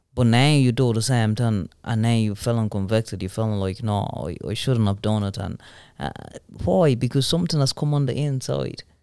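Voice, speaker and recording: A man's dark, mellow tone at medium pitch, with lively intonation. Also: moderate pace, very clean recording, silent background. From Ghana, then Italy. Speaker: church member, podcast co-host. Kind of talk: Bible teaching discussion.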